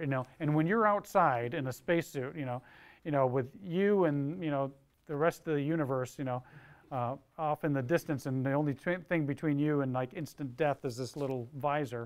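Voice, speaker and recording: With ordinary pitch variation, a man keeps his speech at a moderate pace. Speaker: speaker. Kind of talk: talk to students, storytelling. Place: classroom. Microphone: lapel.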